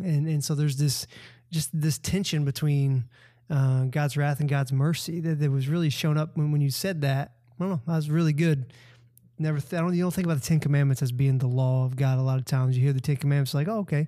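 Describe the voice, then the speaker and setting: A man speaks at a fairly quick pace with a Southern US accent, his voice somewhat breathy and his tone dark and mellow. His loudness stays very even on a very clean recording with a silent background. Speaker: campus pastor. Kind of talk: casual chat.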